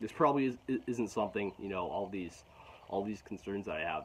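Speaking very fast, a man uses a fairly low voice with ordinary pitch variation. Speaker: vlogger. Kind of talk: casual vlog chat. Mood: frustrated, reflective. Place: garden. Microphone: phone near.

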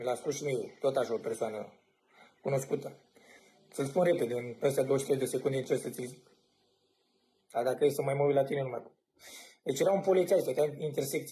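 Somewhat breathy and dark, mellow in tone, a man's fairly high voice moves at a fairly quick pace with ordinary pitch variation and long, frequent pauses. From Romania. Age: 20s. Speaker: cameraman. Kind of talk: casual chat. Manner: animated. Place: home room. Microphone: phone near.

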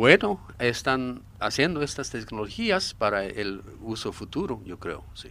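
Speaking very slowly with a Japanese accent, a man uses a medium pitch and a bright, sharp tone, with very wide pitch swings and big swings in loudness. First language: Japanese (speaking Spanish). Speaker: expert on secret military bases. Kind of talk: radio interview. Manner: halting, with many fillers.

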